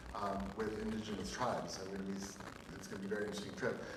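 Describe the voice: A man's voice with ordinary pitch variation, clear background noise and audible room echo.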